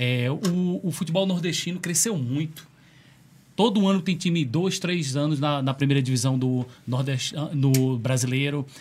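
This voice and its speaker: Lively intonation from a man with a fairly high pitch, at moderate speed. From Rio de Janeiro, Brazil. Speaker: podcast co-host. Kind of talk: casual interview chat. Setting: studio. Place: studio. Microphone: studio mic.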